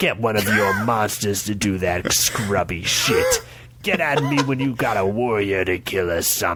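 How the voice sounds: The speaker reads with a natural reading voice.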